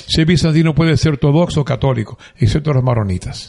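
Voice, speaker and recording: A man speaks at a fairly quick pace with a fairly high pitch and lively intonation. His tone is dark and mellow, and somewhat breathy. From Dominican Republic, San Juan de la Maguana. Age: 70s. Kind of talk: interview, life story.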